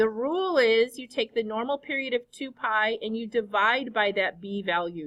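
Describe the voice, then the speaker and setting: With a normal speaking voice, a woman talks at a moderate pace and fairly high pitch, using lively intonation. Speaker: high school math teacher. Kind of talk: classroom lecture. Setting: classroom with students.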